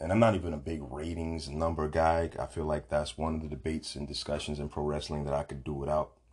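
A man talks somewhat breathily, with a quiet background behind him. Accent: American. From Brooklyn, New York. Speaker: podcast host. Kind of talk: solo commentary podcast. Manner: casual, frequent fillers.

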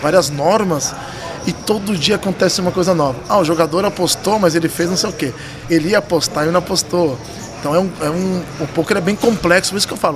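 Over noticeable background noise, a man talks at a fairly quick pace with a high pitch and ordinary pitch variation. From São Paulo city, Brazil. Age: 40s. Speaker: poker tournament director. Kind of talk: casual interview chat.

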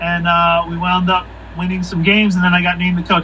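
Against noticeable background noise, a man with a Philadelphia accent speaks at a high pitch. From Philadelphia area, Pennsylvania. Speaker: pro soccer coach. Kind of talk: casual interview.

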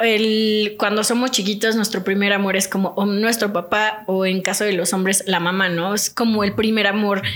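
Monotone, flat intonation from a medium-pitched woman at a moderate pace. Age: 20s. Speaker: nutritionist. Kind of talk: casual chat.

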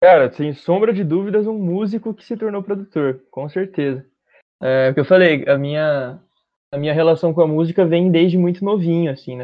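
It is a plain, everyday voice with ordinary pitch variation and big swings in loudness. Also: man. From Bauru, interior of São Paulo state, Brazil. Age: 20s. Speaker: musician and music producer. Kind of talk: casual interview chat.

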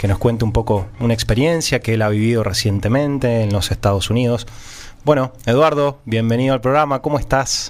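Speaking at a moderate pace, a man uses a normal speaking voice of medium pitch with ordinary pitch variation. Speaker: radio host. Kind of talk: radio interview.

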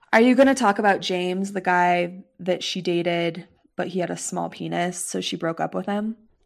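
On a very clean recording with a silent background, a woman with an unremarkable speaking voice talks at a moderate pace with fairly low pitch and fairly even intonation. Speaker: guest friend, not a Star Wars fan.

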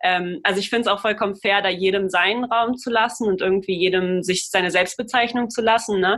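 With hardly any pauses, a woman speaks fairly quickly in a plain, everyday voice at medium pitch and with fairly even intonation. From Germany. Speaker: podcast co-host. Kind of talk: casual discussion.

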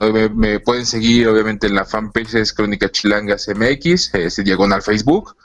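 With music in the background, a man speaks at a fairly low pitch and a moderate pace, with ordinary pitch variation. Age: 40s. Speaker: anthropologist. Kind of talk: casual interview.

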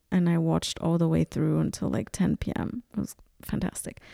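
A woman with a fairly low pitch and a dark, mellow tone speaks at a fairly slow pace, in a very clean recording with a silent background and a dry, close sound with no echo. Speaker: podcast host. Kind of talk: solo casual monologue podcast. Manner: casual, chatty, frequent laughter.

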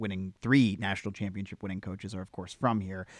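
On a very clean recording with a silent background, a man with an ordinary speaking voice talks at a fairly low pitch with fairly even intonation. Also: dry, close sound with no echo. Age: 30s. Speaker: podcast co-host. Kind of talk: casual chat.

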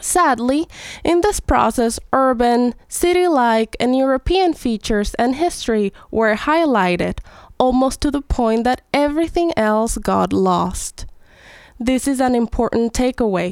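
Speaking with a Spanish accent, a woman uses a high pitch and a fairly slow pace at very even loudness. The recording is very clean, with a silent background and a dry, close sound with no echo. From Venezuela. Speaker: ethnomusicologist. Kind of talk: educational explanation.

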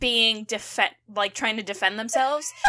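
A woman's bright, sharp tone in a very clean recording with a silent background. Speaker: co-host. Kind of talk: casual chat.

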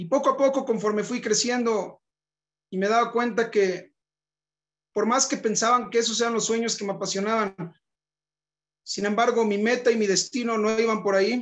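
A man with a high-pitched voice talks at a moderate pace over a quiet background, his intonation fairly even and his pauses long and frequent. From northern Mexico, Monterrey. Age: 30s. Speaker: rabbi. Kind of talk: personal testimony talk.

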